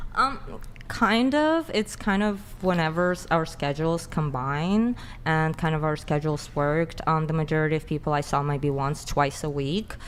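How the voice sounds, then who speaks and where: Her very deep, low voice moves at a moderate pace with ordinary pitch variation, this woman speaking throughout. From Russia. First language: Russian. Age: 20s. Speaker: podcast guest. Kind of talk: interview. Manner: halting, many fillers.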